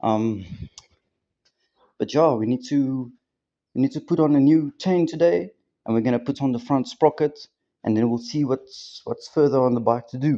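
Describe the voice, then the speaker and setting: Against a quiet background, a man with a medium pitch and a dark, mellow tone talks at a moderate pace with ordinary pitch variation and long, frequent pauses. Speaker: motorbike hobbyist vlogger. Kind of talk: casual tutorial vlog. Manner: casual, hesitant with many fillers.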